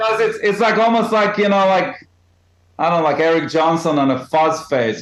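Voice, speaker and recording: Speaking at a moderate pace, a man with a non-native accent has a high pitch. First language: not English. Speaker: jazz guitarist. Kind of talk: casual podcast chat. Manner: animated.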